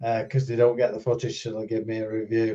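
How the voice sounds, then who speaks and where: This man's tone is dark and mellow, and his voice is somewhat breathy. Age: 70s. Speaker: drone videographer. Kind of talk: casual chat. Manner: hesitant.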